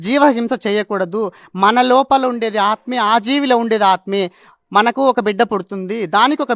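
A man's extremely high-pitched voice with ordinary pitch variation, a dry, close sound with no echo, and a very clean recording over a silent background. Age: 30s. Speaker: meditation practitioner sharing healing story. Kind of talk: testimony.

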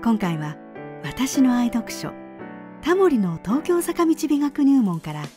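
Music is playing behind the speech. A woman delivers her words at a fairly slow pace. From Kumamoto, Japan. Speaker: narrator. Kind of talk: travel documentary narration.

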